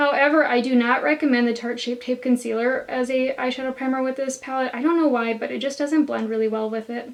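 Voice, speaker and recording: Against noticeable background noise, a woman with a high pitch talks at a very fast pace in a monotone, flat intonation. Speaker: beauty youtuber. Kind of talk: tutorial. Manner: casual, chatty.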